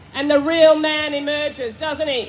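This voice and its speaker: Crowd noise fills the background. A woman speaks fairly slowly with fairly even intonation. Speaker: rally speaker, activist. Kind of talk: rally speech. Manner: loud.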